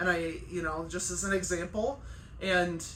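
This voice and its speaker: A loud woman's voice with an animated tone over noticeable background noise. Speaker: chiropractor and life coach. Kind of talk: casual vlog monologue. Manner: loud and emphatic; animated, conversational with fillers.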